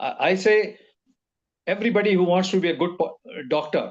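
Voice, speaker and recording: A man speaks in a high pitch. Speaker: doctor. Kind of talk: webinar talk. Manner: halting.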